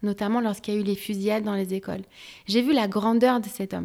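The recording is very clean with a silent background as a woman speaks with ordinary pitch variation. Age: 30s. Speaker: HR professional and career coach. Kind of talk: interview.

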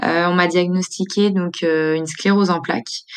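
Ordinary pitch variation shapes a woman's fairly low-pitched voice. The recording is very clean, with a silent background. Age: 20s. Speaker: media co-founder living with multiple sclerosis. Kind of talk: personal testimony. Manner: hesitant, many fillers.

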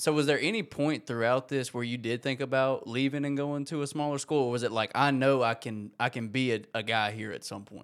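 In a very clean recording with a silent background, a man with a plain, everyday voice and medium pitch talks at a fairly quick pace with fairly even intonation and hardly any pauses. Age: 20s. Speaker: podcast host. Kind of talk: interview.

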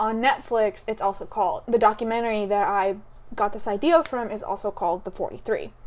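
Here a woman has an unremarkable speaking voice, fairly high in pitch with ordinary pitch variation, moving at a fairly quick pace. The recording is very clean, with a silent background. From Mexican-American, raised partly in US. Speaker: podcast host. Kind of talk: casual chat.

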